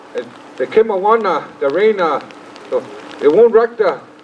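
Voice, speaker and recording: There is noticeable background noise behind this man. He talks at a moderate pace with ordinary pitch variation. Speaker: cultural teacher and dance troupe leader. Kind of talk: speech to an audience. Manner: halting.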